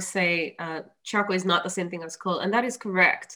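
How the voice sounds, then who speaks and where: The woman's voice has a bright, sharp tone. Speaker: energy project manager. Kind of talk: presentation. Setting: video call. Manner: halting.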